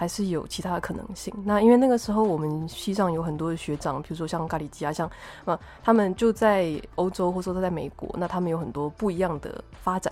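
A woman speaks at a fairly low pitch. Her pace is fairly quick, with ordinary pitch variation. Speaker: podcast host and architect. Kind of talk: casual interview chat. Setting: remote recording.

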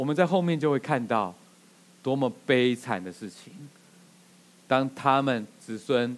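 A man is speaking. His pace is fairly slow. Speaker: pastor. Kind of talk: sermon.

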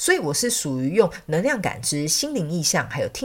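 A woman speaks with a fairly low pitch. Her voice moves in very wide pitch swings. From Taiwan. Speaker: podcast host and spiritual counselor. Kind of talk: casual chat.

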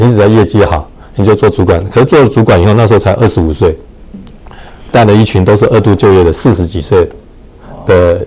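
A man at a fairly quick pace, with ordinary pitch variation, over noticeable background noise. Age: 60s. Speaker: real estate association chairman. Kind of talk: casual chat. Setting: livestream.

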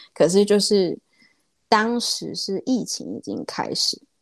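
A woman at a very slow pace, in a dry, close sound with no echo. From Taiwan. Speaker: small business owner. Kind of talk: interview. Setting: remote call.

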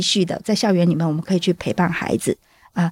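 A woman with an ordinary speaking voice talks at a medium pitch with fairly even intonation, captured dry and close with no echo in a very clean recording against a silent background. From southern Taiwan. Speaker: stay-at-home mother and school volunteer. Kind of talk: interview testimony.

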